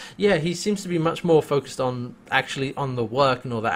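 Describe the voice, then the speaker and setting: At a moderate pace, a man talks with a British accent. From UK. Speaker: podcast host. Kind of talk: casual chat.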